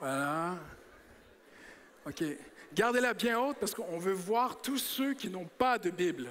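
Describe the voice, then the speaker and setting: A high-pitched man at a very slow pace, with very wide pitch swings and long, frequent pauses. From Quebec. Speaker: preacher. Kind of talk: sermon. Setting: church. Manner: animated.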